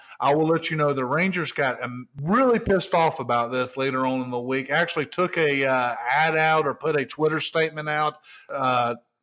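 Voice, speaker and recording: The voice has a bright, sharp tone and fairly even intonation, with a Southern US accent. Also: man. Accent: southern drawl. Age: middle-aged. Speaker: podcast host. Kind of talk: casual chat.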